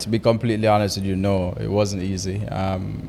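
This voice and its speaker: A man with a fairly low pitch speaks as noticeable background noise carries on. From Jamaica. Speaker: real estate agent. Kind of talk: interview.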